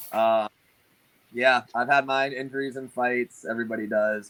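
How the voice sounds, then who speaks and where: A man speaks in a normal speaking voice at a moderate pace and medium pitch, the sound dry and close with no echo on a very clean recording with a silent background. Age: 20s. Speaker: boxing coach. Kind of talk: casual chat.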